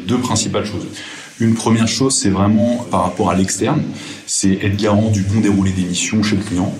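A man with a fairly low pitch speaks at a moderate pace with fairly even intonation, amid audible room echo and noticeable background noise. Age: 30s. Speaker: management consultant. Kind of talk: interview.

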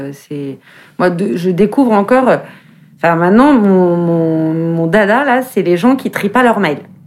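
Here a woman speaks at a very slow pace. Her medium pitch carries lively intonation. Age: 40s. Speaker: fashion journalist and eco-movement co-founder. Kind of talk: casual conversation.

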